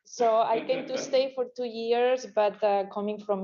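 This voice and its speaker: A woman with a Spanish accent talks at a moderate pace, her dark, mellow tone carrying fairly even intonation. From Spain. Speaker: criminologist consultant. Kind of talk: business presentation. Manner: halting, many fillers.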